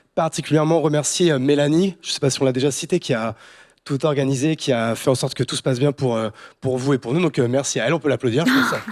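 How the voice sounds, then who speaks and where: Very fast and fairly high-pitched, this man's voice has ordinary pitch variation and a dry, close sound with no echo, recorded very cleanly against a silent background. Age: 30s. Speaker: startup founder and CEO. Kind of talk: panel discussion. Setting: stage with audience.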